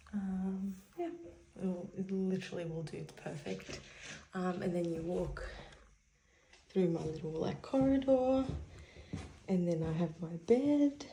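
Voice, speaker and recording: Whispering at a fairly slow pace with long, frequent pauses, a woman is heard with audible room echo. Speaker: travel vlogger. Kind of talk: casual vlog narration. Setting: hotel room; walking outdoors in city. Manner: casual, filler-heavy.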